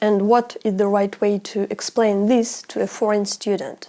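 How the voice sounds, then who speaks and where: A woman with a Russian accent, a fairly high pitch, a dark, mellow tone and a moderate pace. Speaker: language YouTuber. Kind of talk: educational vlog.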